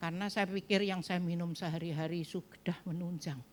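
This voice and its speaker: At a fairly slow pace, a woman speaks with a medium pitch and a dark, mellow tone. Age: 70s. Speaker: pastor. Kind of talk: sermon.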